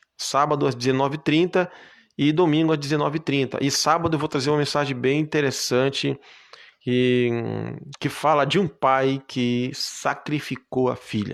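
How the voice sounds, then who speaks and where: Recorded very cleanly with a silent background, a man speaks at a moderate pace and fairly high pitch, keeping very even loudness and fairly even intonation. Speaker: preacher. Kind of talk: live stream sign-off; sermon. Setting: Facebook live video. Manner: halting.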